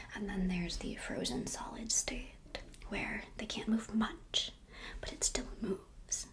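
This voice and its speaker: A woman whispers at a fairly slow pace in a relaxed tone. Background noise is noticeable. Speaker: ASMR creator and HVAC engineer. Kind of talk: ASMR whiteboard science lesson. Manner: soft-spoken, relaxed.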